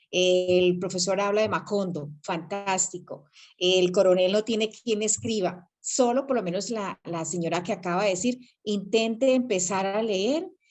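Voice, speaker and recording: With an ordinary speaking voice, a woman talks at a fairly slow pace, her medium pitch showing ordinary variation. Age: 60s. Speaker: reading club participant, retiree. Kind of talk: casual group discussion. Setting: video call by cell phone, camera off.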